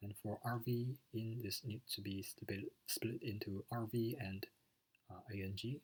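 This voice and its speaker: At a fairly slow pace, a man speaks in a somewhat breathy voice with fairly even intonation. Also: medium pitch for a man. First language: not English. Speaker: student. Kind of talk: lecture. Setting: recorded video lecture with slides. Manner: hesitant, many fillers.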